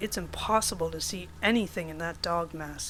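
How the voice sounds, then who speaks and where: A woman performs a put-on character voice at a moderate pace. Clear background noise is present. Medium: read story. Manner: cheeky, casual.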